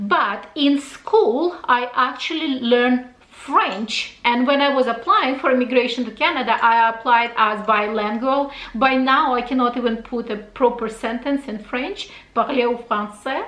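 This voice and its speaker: A woman with a high voice and ordinary pitch variation talks at a moderate pace amid noticeable background noise. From Russia. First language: Russian. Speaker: fashion YouTuber. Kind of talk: casual Q&A vlog.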